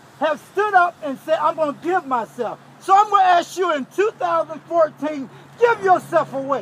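A man speaks at an extremely high pitch with ordinary pitch variation. His pace is moderate, and there is noticeable background noise. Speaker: pastor, march organizer. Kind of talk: rousing pep talk to a crowd. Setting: outdoors. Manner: rousing, preacher-like.

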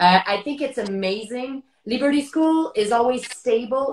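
Light background noise and audible room echo surround a woman who speaks at a moderate pace in a high pitch with ordinary pitch variation. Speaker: interviewer, wine host. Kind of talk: interview conversation. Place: home room. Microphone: video call.

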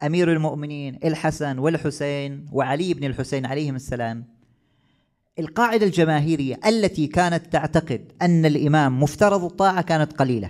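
At a moderate pace and with ordinary pitch variation, a man with a fairly high pitch talks over a quiet background. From Oman. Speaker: Shia cleric; podcast guest or host. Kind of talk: religious talk on Imam's life. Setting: husseiniya gathering with audience. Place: stage. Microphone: studio mic.

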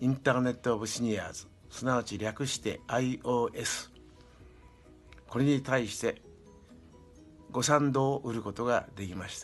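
A man speaks at a moderate pace with fairly even intonation. His long, frequent pauses come over faint music in the background. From Shimonoseki, Yamaguchi, Japan. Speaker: retired executive, senior association founder. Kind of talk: interview answer. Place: home room. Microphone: webcam.

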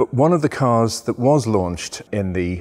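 A man with a fairly low pitch uses an ordinary speaking voice. He talks at a moderate pace against a quiet background. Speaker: presenter. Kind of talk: presenting to camera, storytelling. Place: workshop.

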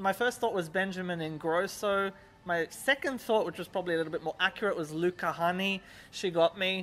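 A man's raised, projected voice, bright and sharp, at a moderate pace with ordinary pitch variation. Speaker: music reviewer. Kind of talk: review commentary chat. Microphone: handheld.

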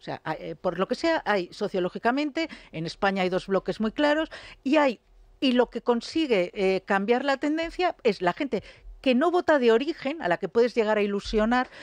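A woman with a fairly high pitch talks at a moderate pace with very wide pitch swings, set against a quiet background. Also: dry, close sound with no echo. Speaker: political commentator. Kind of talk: radio talk show debate.

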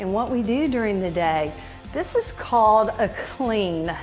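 Faint music sits in the background as a woman speaks at a fairly slow pace. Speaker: fitness instructor. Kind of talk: workout instruction with devotional talk. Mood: upbeat, encouraging. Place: home room.

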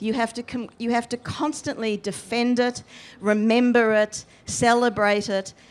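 At a fairly slow pace, a woman with an Australian accent speaks in a fairly high voice. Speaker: history professor and author; panelist. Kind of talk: panel discussion. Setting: festival stage with audience. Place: tent. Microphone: handheld.

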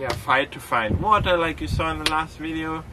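A man talking at a fairly quick pace against noticeable background noise. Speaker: sailing vlogger. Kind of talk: casual vlog chat. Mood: relaxed, lightly wry. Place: boat.

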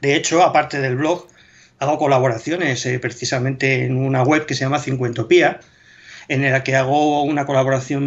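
At a moderate pace, a man with a fairly high pitch speaks with fairly even intonation. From Spain. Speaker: military history blogger. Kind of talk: casual interview chat. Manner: hesitant, with repetitions. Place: home room. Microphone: video call.

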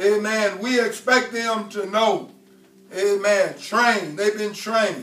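There is audible room echo as a man speaks very slowly in a high pitch. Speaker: preacher. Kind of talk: sermon. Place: church.

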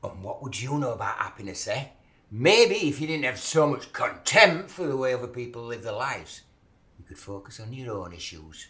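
A man's voice has a bright, sharp tone. Its loudness swings widely. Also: moderate pace. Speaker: actor in a scene. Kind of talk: acted dramatic dialogue. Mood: mocking, confrontational. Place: kitchen.

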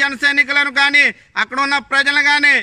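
A raised, projected voice with a bright, sharp tone against a quiet background. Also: man. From Andhra Pradesh, Konaseema (Razole); Andhra Pradesh. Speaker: political party activist. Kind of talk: political warning speech to camera; angry political statement to camera. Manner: forceful. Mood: angry, warning. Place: garden. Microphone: phone near.

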